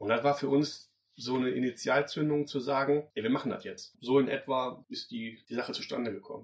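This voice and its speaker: A man's normal speaking voice, fairly high in pitch with ordinary pitch variation, at a fairly quick pace. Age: 40s. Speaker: event organizer. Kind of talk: interview.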